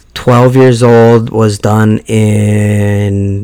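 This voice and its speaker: This man speaks at a fairly low pitch in a monotone, flat intonation. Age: 40s. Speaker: podcast host. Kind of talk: casual monologue.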